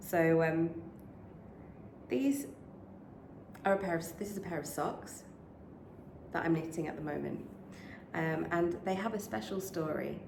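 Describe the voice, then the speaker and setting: In a British accent, a woman with a fairly low pitch speaks at a fairly slow pace with lively intonation and long, frequent pauses, over noticeable background noise and audible room echo. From UK. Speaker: knitting podcaster. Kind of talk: casual vlog chat. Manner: hesitant, many fillers.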